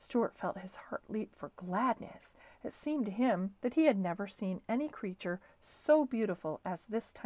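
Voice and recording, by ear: The delivery uses an unforced reading voice. Nothing about it sounds pushed.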